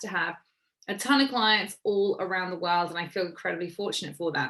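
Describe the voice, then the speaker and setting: Over a quiet background, a woman of medium pitch talks at a fairly quick pace in an animated tone with ordinary pitch variation. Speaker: business and mindset coach. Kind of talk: online masterclass presentation.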